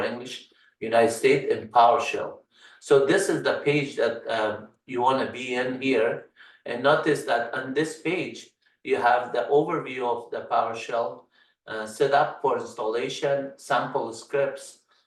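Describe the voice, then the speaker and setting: A man speaks with an Afghan accent. His pace is fairly slow. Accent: Afghan Persian accent in English. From Afghanistan, Kabul. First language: Farsi. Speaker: tech instructor. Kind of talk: tutorial. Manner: halting, many fillers.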